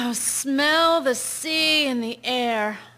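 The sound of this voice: A woman puts on a character voice, high-pitched with a bright, sharp tone. She speaks at a very slow pace.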